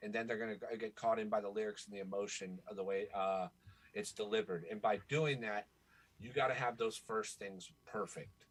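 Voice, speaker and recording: At a fairly quick pace, a man speaks in a plain, everyday voice with medium pitch and ordinary pitch variation. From Florida, US. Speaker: rapper and songwriter. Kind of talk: podcast interview.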